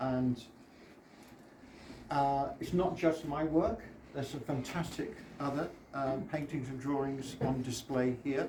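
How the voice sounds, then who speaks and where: A man with a British accent speaks at a fairly slow pace and a fairly high pitch, using ordinary pitch variation. Long, frequent pauses appear, and audible room echo surrounds his voice. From Britain. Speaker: artist. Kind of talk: exhibition opening speech. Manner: halting.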